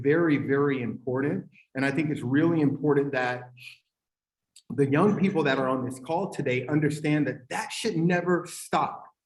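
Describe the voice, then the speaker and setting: This man's fairly high voice is somewhat breathy, with an animated tone and ordinary pitch variation. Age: 40s. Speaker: tech company owner, panelist. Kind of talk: panel discussion.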